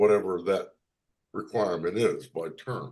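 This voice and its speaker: A man with a fairly low pitch at a fairly slow pace. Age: 60s. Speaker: committee member. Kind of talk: meeting discussion. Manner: halting.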